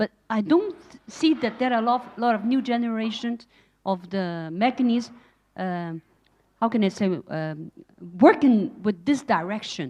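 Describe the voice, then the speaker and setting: In a non-native accent, the voice has a dark, mellow tone, lively intonation and big swings in loudness. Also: woman, fairly high pitch for a woman, fairly slow pace. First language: not English. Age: old. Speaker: audience member, former government official. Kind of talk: audience comment at panel. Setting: event venue with audience. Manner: halting.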